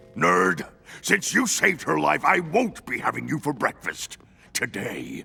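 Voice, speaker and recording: Growling in a cartoonish character voice, a man of medium pitch speaks at a moderate pace. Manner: gruff, gloating.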